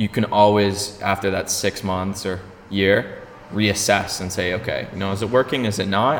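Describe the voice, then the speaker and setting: A man speaks at a fairly low pitch in a monotone with flat intonation, over noticeable background noise. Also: moderate pace. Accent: Canadian. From Ontario, Canada (small town). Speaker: podcast host. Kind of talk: casual interview chat. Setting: arts centre venue.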